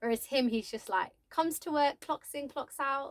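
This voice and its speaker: Raised and projected, a woman's high-pitched voice has an animated, bright, sharp tone at a moderate pace, with a dry, close sound and no echo. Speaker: vlogger. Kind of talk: casual storytelling. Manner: loud.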